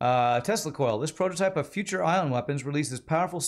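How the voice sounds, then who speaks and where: A man at a fairly quick pace, faint music in the background. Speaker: game streamer. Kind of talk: gameplay commentary.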